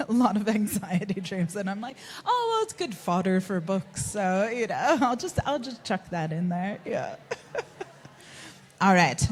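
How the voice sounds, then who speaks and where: Lively intonation at a fairly slow pace, with an American accent, over noticeable background noise. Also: woman, medium pitch for a woman. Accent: American, despite being a Kiwi. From US Northeast (Connecticut). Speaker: fantasy author. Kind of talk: live panel conversation. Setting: stage with audience.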